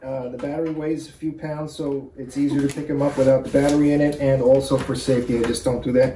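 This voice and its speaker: Light background noise and audible room echo. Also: man. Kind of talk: tutorial. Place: home room. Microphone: camera far.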